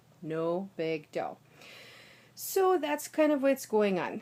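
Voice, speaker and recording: A woman with an American accent talks at a very slow pace, her fairly high pitch making very wide swings over a dark, mellow tone. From United States. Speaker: linguist and professional singer. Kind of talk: casual talk to camera. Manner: some trouble with consonant clusters.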